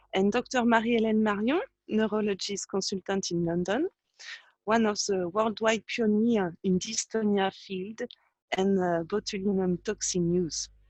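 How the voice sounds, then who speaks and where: A woman speaks with a French accent at a medium pitch and a moderate pace. Her intonation stays fairly even. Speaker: patient organization vice president. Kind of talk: webinar introduction.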